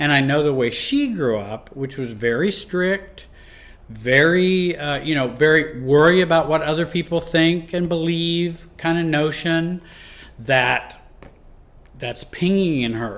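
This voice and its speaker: A man with a plain, everyday voice speaks at a fairly slow pace, fairly high in pitch, with ordinary pitch variation. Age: 60s. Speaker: life and relationship coach. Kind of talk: teaching talk. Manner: conversational, with fillers and restarts.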